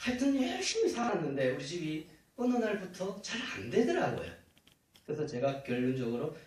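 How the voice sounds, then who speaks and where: A man speaks at a moderate pace with a Gyeongsang accent. His pitch swings very widely, and there is audible room echo. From Uljin, Gyeongbuk, South Korea. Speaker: church elder. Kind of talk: testimony. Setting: church.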